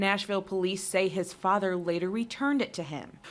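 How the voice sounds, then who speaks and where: A woman talks in an ordinary speaking voice at a medium pitch. Her pace is moderate and her pitch varies in an ordinary way. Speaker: TV news reporter. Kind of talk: TV news report.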